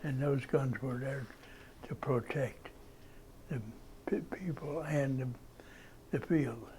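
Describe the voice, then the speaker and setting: A man with an American accent speaks very slowly, leaving long, frequent pauses. His voice is somewhat breathy, dark and mellow, at medium pitch with fairly even intonation. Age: 80s+. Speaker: war veteran. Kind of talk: interview answer. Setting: library.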